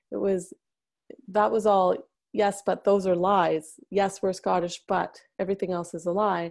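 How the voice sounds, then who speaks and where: Over a quiet background, a woman speaks in a plain, everyday voice at a medium pitch and a moderate pace with fairly even intonation. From Canada. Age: 30s. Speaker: memoir writing coach and bodyworker. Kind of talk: interview conversation.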